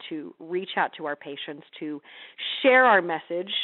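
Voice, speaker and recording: In an American accent, a woman with a plain, everyday voice speaks at a moderate pace and a fairly low pitch. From US Midwest, Missouri. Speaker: healthcare marketing presenter. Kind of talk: webinar presentation. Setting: online webinar.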